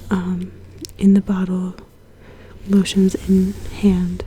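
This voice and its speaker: Female speech amid noticeable background noise. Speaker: ASMR content creator. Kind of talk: casual talk to camera. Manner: soft-spoken, whispery.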